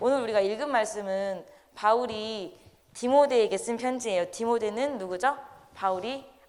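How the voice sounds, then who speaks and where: This woman talks at a fairly quick pace with a medium pitch. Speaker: lay preacher. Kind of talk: sermon. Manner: fast.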